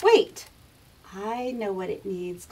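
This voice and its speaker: She uses a put-on character voice. The woman's pitch sits fairly high. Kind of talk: children's story narration.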